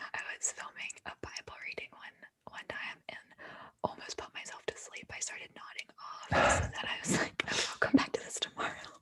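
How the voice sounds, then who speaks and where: A woman whispers at a fairly quick pace. Her loudness swings a lot. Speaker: ASMR creator. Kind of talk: interview answer. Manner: soft-spoken.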